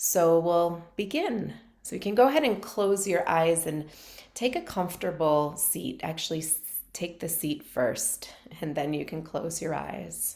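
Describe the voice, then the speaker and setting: Calm in tone and with vocal fry, a woman speaks at a fairly slow pace, her fairly low pitch showing ordinary variation. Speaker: meditation teacher. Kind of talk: guided meditation; casual talk to camera. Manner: calm, slow.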